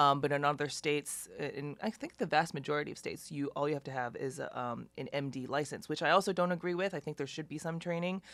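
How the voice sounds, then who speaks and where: A woman talks very fast in a very deep, low voice. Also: ordinary pitch variation, hardly any pauses. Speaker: anesthesiologist. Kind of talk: webinar presentation. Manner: hesitant with many fillers.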